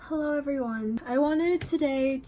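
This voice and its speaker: The delivery is fairly slow with lively intonation. Noticeable background noise runs underneath. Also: woman. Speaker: YouTuber, art student. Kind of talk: casual vlog while painting. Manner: casual, lots of fillers.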